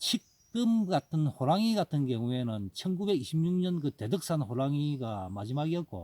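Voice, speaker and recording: A man with a strong Gyeongsang accent talks at a fairly slow pace, his tone dark and mellow and his pitch fairly high with very wide swings. The recording is very clean, with a silent background. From Gyeongsang province, South Korea. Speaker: wild ginseng forager and YouTuber. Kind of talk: casual informational talk. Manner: rambling, hesitant with fillers.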